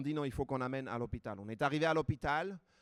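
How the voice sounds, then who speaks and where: A man's fairly high voice with an Armenian accent, dry and close with no echo. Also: very clean recording, silent background. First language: Armenian (speaking French). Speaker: preacher. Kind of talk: sermon.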